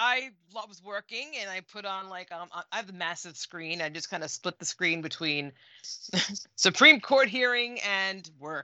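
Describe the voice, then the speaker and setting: Her loudness swinging widely, a woman with an ordinary speaking voice talks at medium pitch and a moderate pace with lively intonation. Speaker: co-host. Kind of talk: casual chat.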